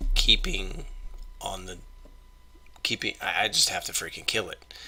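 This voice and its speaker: A man is speaking. His voice is quiet. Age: 30s. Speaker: YouTuber, Marine Corps veteran. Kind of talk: casual vlog monologue. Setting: at home at night. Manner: quiet, subdued.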